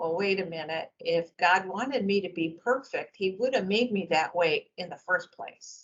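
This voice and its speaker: At a moderate pace with hardly any pauses, a woman speaks at a medium pitch with ordinary pitch variation. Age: 60s. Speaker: retiring critical care nurse. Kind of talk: interview. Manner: halting.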